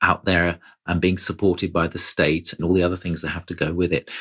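A man with a British accent speaks in a very deep, low pitch, recorded very cleanly against a silent background. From Britain. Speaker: foreign correspondent. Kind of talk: interview.

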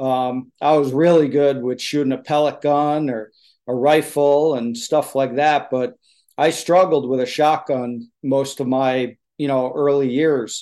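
A man with an American accent, fairly high pitch, a dark, mellow tone and monotone, flat intonation, at a fairly slow pace against a quiet background. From US East Coast salt marsh area. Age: 50s. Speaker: choke tube maker and hunter. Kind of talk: interview.

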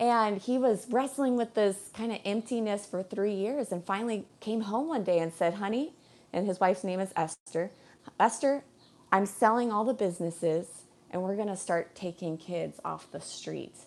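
A woman with an American accent speaks in a plain, everyday voice. Her pitch is medium and her pace moderate. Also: ordinary pitch variation. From Colorado. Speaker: boat captain and podcaster. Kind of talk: casual interview.

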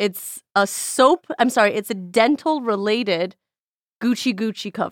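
An unremarkable speaking voice at a fairly slow pace with ordinary pitch variation, recorded very cleanly against a silent background with a dry, close sound and no echo. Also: woman, fairly high pitch for a woman. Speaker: chef, host's boss and friend. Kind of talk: casual chat. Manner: joking, playful.

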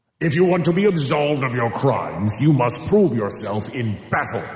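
A man's put-on, growling character voice with a Bengali-free medium pitch, lively intonation, moderate pace and audible echo. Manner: snarling.

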